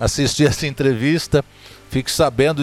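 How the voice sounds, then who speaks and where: Noticeable background noise runs beneath this man's speech, which has a fairly high pitch and a moderate pace. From Zona da Mata, Minas Gerais, Brazil. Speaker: podcast host, sertanejo music storyteller. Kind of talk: casual interview chat. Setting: recorded at a countryside venue.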